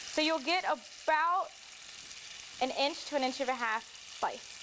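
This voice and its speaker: Noticeable background noise surrounds a woman speaking at a fairly slow pace. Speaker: cooking segment host. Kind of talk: tutorial. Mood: warm, upbeat. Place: kitchen.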